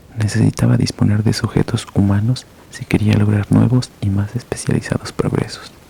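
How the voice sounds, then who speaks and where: Over noticeable background noise, a soft-spoken man talks at a moderate pace with a fairly low pitch and a monotone, flat intonation. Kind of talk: horror story reading. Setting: home bedroom.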